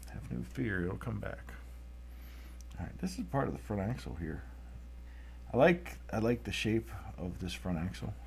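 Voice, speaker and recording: Lively intonation and vocal fry mark this moderate-paced voice, which has long, frequent pauses and audible room echo. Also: man, very deep, low pitch for a man. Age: 30s. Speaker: artist drawing tractors. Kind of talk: live-stream drawing commentary. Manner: casual, conversational.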